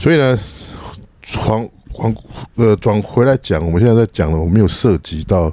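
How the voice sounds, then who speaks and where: A man's fairly low voice at a moderate pace, with lively intonation and long, frequent pauses. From Taiwan. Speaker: podcast co-host, teacher. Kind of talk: casual chat.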